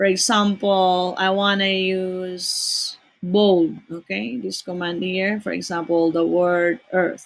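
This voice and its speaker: This woman talks at a very slow pace with fairly even intonation and hardly any pauses. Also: medium pitch for a woman. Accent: non-native. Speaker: teacher. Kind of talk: tutorial. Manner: slow, deliberate dictation.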